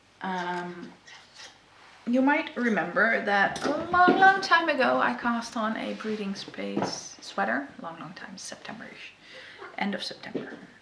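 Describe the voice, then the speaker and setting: A woman talks at a fairly slow pace and a fairly high pitch, with very wide pitch swings. Her loudness swings a lot, and noticeable background noise is present. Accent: Dutch. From Netherlands. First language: Dutch. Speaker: knitting podcaster. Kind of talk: casual talk to camera.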